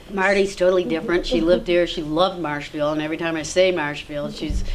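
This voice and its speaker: Noticeable background noise and audible room echo fill the recording. A woman talks very fast with fairly even intonation. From Vermont. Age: 60s. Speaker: local resident. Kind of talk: oral history interview. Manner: rambling, halting.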